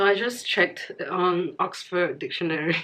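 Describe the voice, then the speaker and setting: Amid noticeable background noise, a woman speaks at a moderate pace with ordinary pitch variation. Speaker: language teacher. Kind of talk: casual language lesson to camera.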